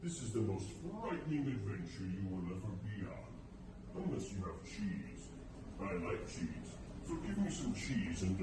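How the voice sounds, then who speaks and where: A booming man uses a put-on character voice at a fairly low pitch and a moderate pace. Loud background noise and slight echo accompany him. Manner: mysterious.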